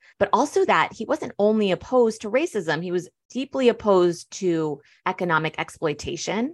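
A woman talks with a General American accent and lively intonation. The background is quiet. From US, born in Germany to Iranian parents. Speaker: sociology professor and author. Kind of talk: interview.

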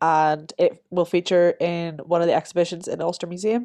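A woman speaks at a moderate pace with a Northern Irish accent, her pitch fairly low with ordinary variation and a dark, mellow tone. The sound is dry and close with no echo, against a quiet background. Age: 20s. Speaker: podcast co-host, drama student. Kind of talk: casual chat.

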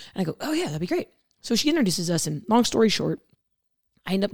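Delivered at a very fast pace, this voice has an American accent and vocal fry. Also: woman. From central Illinois. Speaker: meat lab manager. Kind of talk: casual interview.

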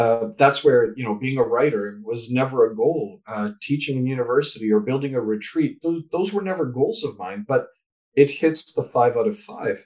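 In a normal speaking voice, a man with a Canadian accent talks at medium pitch and a moderate pace, with lively intonation. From Canada. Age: 60s. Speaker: author and speaker. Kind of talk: interview.

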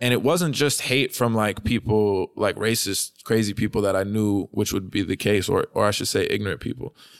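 A man at medium pitch with a New York accent, fairly quick pace and ordinary pitch variation, in a very clean recording with a silent background. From New York City, Manhattan (Hell's Kitchen). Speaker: rapper. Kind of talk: casual interview chat.

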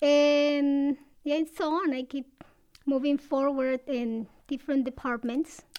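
In a Latin American accent, a woman speaks at a high pitch. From Ecuador. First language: Spanish. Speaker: assistant registrar. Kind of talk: interview.

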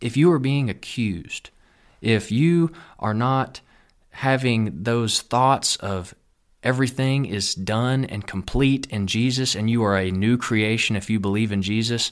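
In a Texan accent and an animated tone, a man of medium pitch talks at a fairly slow pace with ordinary pitch variation on a very clean recording with a silent background. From Texas. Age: 20s. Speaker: pastor. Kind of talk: sermon-style podcast monologue. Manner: earnest, animated.

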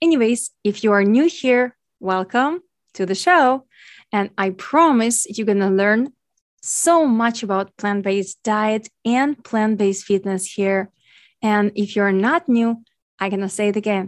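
With a Ukrainian accent, a woman talks at a fairly slow pace in a fairly high voice with ordinary pitch variation. The sound is dry and close with no echo, over a quiet background. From Ukraine. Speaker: podcast host and nutrition coach. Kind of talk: educational podcast monologue.

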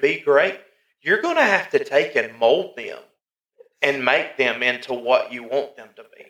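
Speech comes at a fairly slow pace. It is delivered in an American accent. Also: man. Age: 30s. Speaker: podcast co-host, father. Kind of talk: casual chat.

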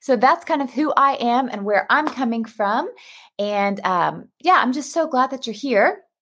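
A woman talks in a high pitch with an animated, warm tone and an American accent. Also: lively intonation, fairly slow pace. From US Texas. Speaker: pastor and Bible study host. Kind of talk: casual live video chat. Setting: live video stream. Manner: animated, warm, enthusiastic.

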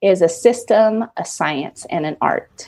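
The intonation is lively. It is an unremarkable speaking voice. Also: woman. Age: 30s. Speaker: digital marketing business owner. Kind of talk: interview.

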